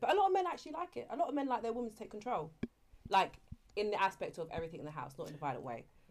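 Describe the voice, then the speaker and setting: A woman with a London accent. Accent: London English, multicultural London. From East London, Canning Town. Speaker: YouTuber. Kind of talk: casual chat.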